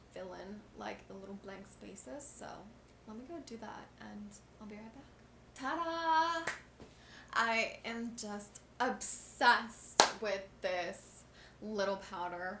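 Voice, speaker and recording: A woman at a fairly slow pace with a medium pitch, lively intonation and big swings in loudness, amid noticeable background noise and audible room echo. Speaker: beauty vlogger. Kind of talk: makeup tutorial. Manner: mumbling; casual, chatty.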